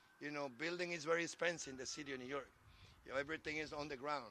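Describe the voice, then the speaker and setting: This man speaks with a Spanish accent. His tone is bright and sharp, his intonation monotone and flat. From Dominican Republic. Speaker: transportation commissioner. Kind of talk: public speech.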